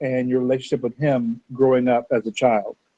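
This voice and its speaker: A man talks at a fairly quick pace with an American accent. He has an ordinary speaking voice at a medium pitch. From US, Arizona. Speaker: podcast host. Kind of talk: interview.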